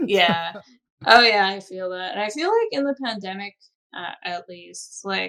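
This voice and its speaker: A woman with an American accent has a normal speaking voice at a medium pitch with ordinary pitch variation. She goes at a fairly slow pace, with big swings in loudness. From Chicago area, US Midwest. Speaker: film and video game composer. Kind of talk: casual podcast interview.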